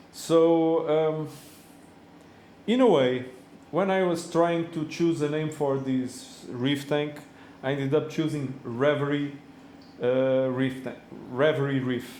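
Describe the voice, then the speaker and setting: A man with a non-native accent speaks very slowly in a fairly high pitch, with fairly even intonation. He leaves long, frequent pauses, and room echo is audible. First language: not English. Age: 40s. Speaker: reef tank hobbyist vlogger. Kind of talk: casual video monologue. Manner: halting, many fillers.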